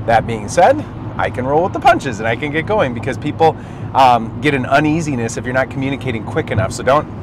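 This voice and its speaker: A man talks at a very fast pace with ordinary pitch variation. Noticeable background noise is present. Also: medium pitch for a man. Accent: Minnesota. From Minnesota. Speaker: marketing agency owner. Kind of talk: tutorial. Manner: animated.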